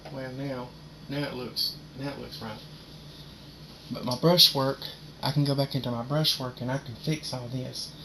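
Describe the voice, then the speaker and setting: A man with a medium pitch talks at a moderate pace amid noticeable background noise. His intonation is fairly even, with big swings in loudness and long, frequent pauses. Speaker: painter. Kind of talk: painting tutorial. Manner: casual.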